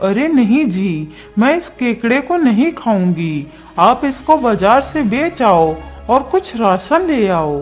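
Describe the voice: A cartoonish character voice, fairly high in pitch with very wide pitch swings, moves at a fairly slow pace over clear music in the background.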